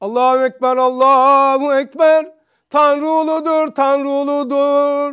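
There is a quiet background. A man speaks with an extremely high pitch. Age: 60s. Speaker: religious teacher. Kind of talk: religious lesson. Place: classroom. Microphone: lapel.

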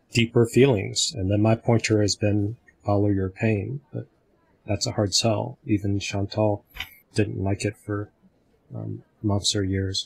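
Faint music plays in the background. A man speaks at a fairly slow pace with a fairly low pitch. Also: fairly even intonation. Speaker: community discussion facilitator. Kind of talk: group discussion on video call. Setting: video call.

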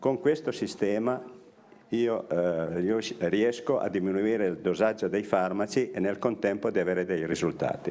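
A man speaks at a moderate pace in a fairly low pitch. His pitch variation is ordinary. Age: 60s. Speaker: Parkinson's patient. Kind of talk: testimony; interview answer. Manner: halting. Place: office.

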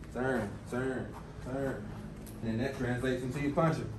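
The man's delivery comes at a moderate pace, with noticeable background noise behind it. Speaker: boxing coach. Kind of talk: tutorial. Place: gym. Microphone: lapel.

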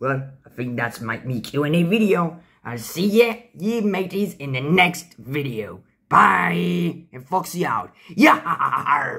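Using a put-on character voice, a man speaks fairly slowly at a fairly high pitch with very wide pitch swings. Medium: role play. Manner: upbeat, playful.

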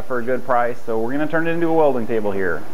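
A man speaks with light noise in the background. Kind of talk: casual vlog chat. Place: garage.

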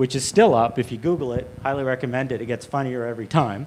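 Here a man talks at a very fast pace. His pitch variation is ordinary. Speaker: panel moderator. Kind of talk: panel introduction. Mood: light, joking. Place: hall. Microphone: handheld.

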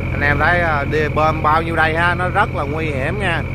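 A man speaks at a moderate pace, the sound dry and echo-free, while loud background noise fills the clip. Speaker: boat operator vlogger. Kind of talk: casual vlog chat. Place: boat.

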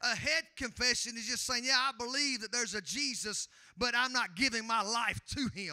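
A man speaks at a moderate pace in an extremely high pitch with ordinary pitch variation. His tone is bright and sharp, and the sound is dry and close with no echo.

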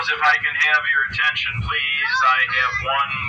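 Loud background noise sits behind a man who is talking. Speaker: train ride host. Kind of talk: storytelling announcement. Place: train. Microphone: camera far.

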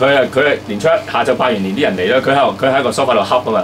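A man with a medium-pitched voice talks at a very fast pace over light background noise. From Hong Kong. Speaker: podcast host. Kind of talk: casual chat. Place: studio.

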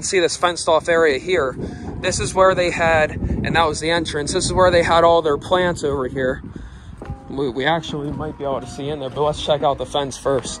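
A man talks at a fairly quick pace with fairly even intonation. Music plays behind him, and the sound is dry with no echo. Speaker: explorer vlogger. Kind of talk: casual vlog chat. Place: street. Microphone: phone near.

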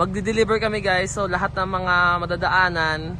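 Audible room echo surrounds a man speaking. His pitch is high and his intonation fairly even. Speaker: plant seller vlogger. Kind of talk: casual vlog.

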